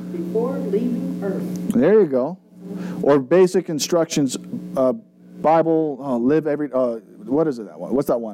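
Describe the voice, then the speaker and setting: Over noticeable background noise, a man with a fairly high pitch talks at a moderate pace, with very wide pitch swings and big swings in loudness. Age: 30s. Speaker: pastor. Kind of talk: Bible study teaching. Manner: casual.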